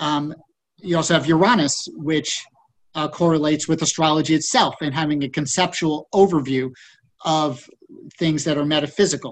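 A man talks with fairly even intonation. He has an ordinary speaking voice. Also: fairly high pitch for a man, moderate pace. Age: 50s. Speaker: podcast co-host and author on spirituality. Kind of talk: casual chat.

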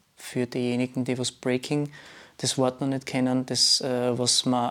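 This is a man speaking. He talks at a fairly slow pace. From Austria, Graz. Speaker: dancer and DJ. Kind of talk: casual chat.

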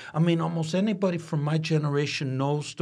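A normal speaking voice from a man with an American accent, fairly high in pitch, with ordinary pitch variation at a moderate pace. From Detroit, Michigan (Corktown). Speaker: musician and activist. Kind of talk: casual interview. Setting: studio.

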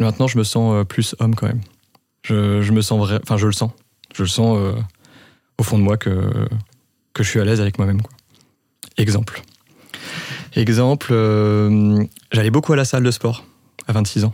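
A man speaks in a dark, mellow, fairly low voice with monotone, flat intonation. His loudness stays very even, broken by long, frequent pauses. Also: moderate pace. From France, Reims. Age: 30s. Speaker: podcast guest. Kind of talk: casual chat. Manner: halting.

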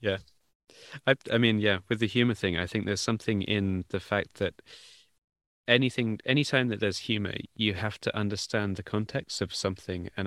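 Dry, close sound with no echo, and a man with an ordinary speaking voice, fairly low in pitch, with fairly even intonation. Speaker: podcast host. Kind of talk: interview conversation. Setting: video call.

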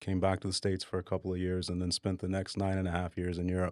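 An American-accented man delivers his lines in a very deep, low pitch with monotone, flat intonation. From Dallas, Texas. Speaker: singer-songwriter and Air Force veteran. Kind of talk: casual interview. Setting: studio.

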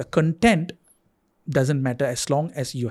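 The voice is somewhat breathy, with ordinary pitch variation. It moves at a fairly slow pace. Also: man. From Singapore. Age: 40s. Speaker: TV writer-director. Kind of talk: casual chat.

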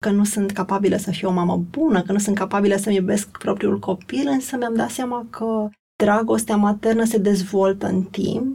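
A woman's medium-pitched, somewhat breathy voice with a dark, mellow tone, fairly even intonation and a fairly slow pace. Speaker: company executive. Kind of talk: interview. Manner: hesitant.

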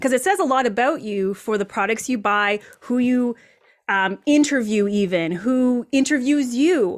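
A woman speaks at a fairly slow pace in a high voice with lively intonation. Her tone is energetic and animated. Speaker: personal branding expert. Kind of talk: interview. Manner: energetic, animated.

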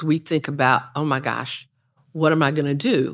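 A woman with an American accent and a very deep, low pitch speaks at a moderate pace in a very clean recording with a silent background. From Raleigh, North Carolina. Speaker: community historian. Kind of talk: panel discussion.

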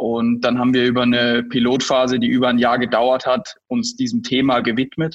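Medium in pitch, a man talks at a moderate pace with hardly any pauses, monotone, flat intonation and very even loudness. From rural Germany. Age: 20s. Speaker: startup founder and CEO. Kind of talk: interview.

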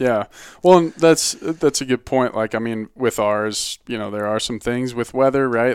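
Speaking at a moderate pace and medium pitch, a man with an American accent has a plain, everyday voice, captured in a very clean recording with a silent background. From Boulder, Colorado. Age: 20s. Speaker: outdoor gear company marketing director. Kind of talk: casual interview chat.

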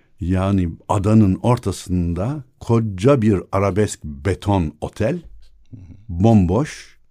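A very clean, silent-background recording of a man with a dark, mellow tone. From Istanbul, Princes' Islands. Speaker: academic and local historian. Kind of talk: casual chat. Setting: studio.

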